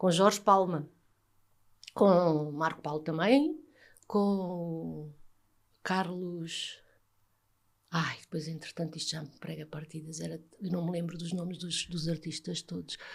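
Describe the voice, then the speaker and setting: A woman's fairly low voice in a European Portuguese accent, very slow, with long, frequent pauses, fairly even intonation and big swings in loudness. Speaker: former TV presenter, psychologist. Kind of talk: interview answer.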